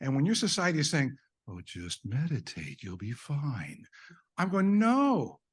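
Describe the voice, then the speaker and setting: A man's fairly slow, somewhat breathy speech, with very wide pitch swings and big swings in loudness. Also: quiet background. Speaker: eye surgeon presenting at a medical conference. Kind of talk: conference presentation. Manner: animated.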